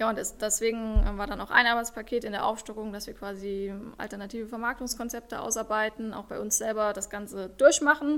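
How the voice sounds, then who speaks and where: With an unremarkable speaking voice, a woman talks fairly quickly at a fairly high pitch, her intonation fairly even but her loudness swinging widely. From Saarland, Germany. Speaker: startup founder. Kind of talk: interview.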